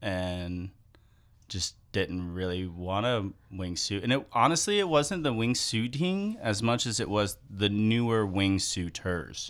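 In a very clean recording with a silent background, a man with an American accent and a plain, everyday voice speaks at a fairly low pitch and a fairly slow pace, with ordinary pitch variation. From US South. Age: 30s. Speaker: wingsuit pilot and skydiving instructor. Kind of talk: casual interview. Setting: studio. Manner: relaxed.

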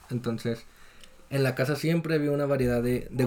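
This man talks with a Mexican accent and fairly even intonation. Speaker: podcast guest. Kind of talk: casual chat.

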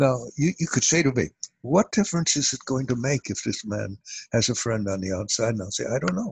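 In a dry, close recording with no echo, a man with a medium pitch and some vocal fry talks at a fairly quick pace with lively intonation. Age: 80s. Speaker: author and family therapist. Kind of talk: interview, conversational.

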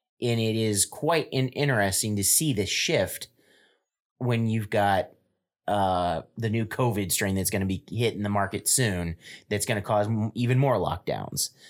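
Heard on a very clean recording with a silent background, an ordinary speaking voice with an American accent moves at a moderate pace, its loudness very even and its pitch variation ordinary. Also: man, fairly low pitch for a man. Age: 30s. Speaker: podcast guest. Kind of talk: casual chat.

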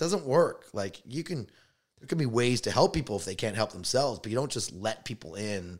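With a Canadian accent and a medium pitch, a man talks at a fairly quick pace, his pitch swinging very widely and his loudness rising and falling sharply, on a very clean recording with a silent background. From Canada, Toronto. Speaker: stand-up comedian. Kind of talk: casual chat.

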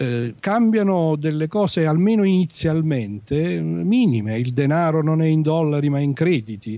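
This man has a dark, mellow tone and a fairly high pitch, speaking at a moderate pace with very wide pitch swings. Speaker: guest on sci-fi podcast, writer/professor. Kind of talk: casual chat, book discussion.

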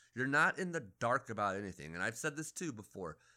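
A man speaks with an American accent and a bright, sharp tone. His pitch swings very widely. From Phoenix, Arizona. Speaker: podcast host. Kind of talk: casual chat.

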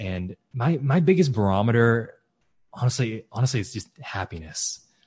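Somewhat breathy delivery at a moderate pace. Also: man, quiet background. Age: 20s. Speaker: real estate investor. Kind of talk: podcast interview.

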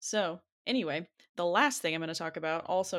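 A woman speaks in an ordinary speaking voice, medium in pitch, with an American accent and ordinary pitch variation. Her pace is moderate, and the recording is very clean with a silent background. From US South, rural Arkansas. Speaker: podcast panelist, comics reviewer. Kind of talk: casual chat.

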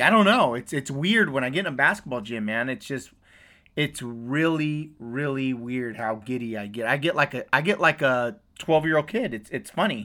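A loud, energetic man with an American accent, medium pitch, ordinary pitch variation, a bright, sharp tone and a fairly slow pace, on a very clean recording with a silent background. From US West Coast. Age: 40s. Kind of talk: casual chat.

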